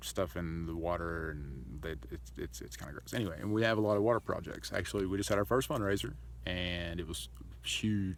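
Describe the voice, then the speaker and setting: At a fairly quick pace, a man with a very deep, low pitch speaks with lively intonation amid audible room echo. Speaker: charity founder vlogger. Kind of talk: casual vlog monologue.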